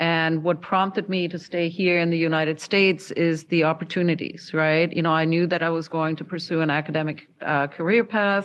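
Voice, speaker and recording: A German accent in a monotone, flat delivery, fairly quick with hardly any pauses. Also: woman, fairly low pitch for a woman. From Germany. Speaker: university dean and educator. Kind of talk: panel discussion.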